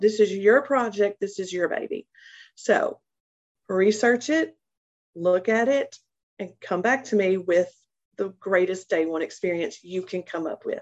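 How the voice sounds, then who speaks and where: A woman at medium pitch, fairly slow pace, ordinary pitch variation and long, frequent pauses. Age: 40s. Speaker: human resources professional. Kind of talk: interview.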